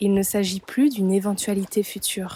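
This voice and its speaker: Through noticeable background noise, a woman talks in a middle-range pitch. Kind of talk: spiritual voice-over narration.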